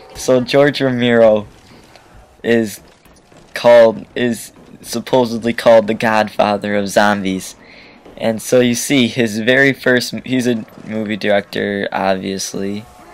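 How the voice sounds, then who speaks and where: A man speaks at a fairly slow pace with a fairly low pitch, a relaxed tone and fairly even intonation. Noticeable background noise runs underneath. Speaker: gaming commentator. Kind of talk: gameplay commentary. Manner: relaxed, chill; halting, repeats words.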